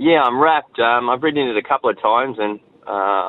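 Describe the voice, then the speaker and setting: A man speaks with an Australian accent. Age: 30s. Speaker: jockey. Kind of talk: radio interview.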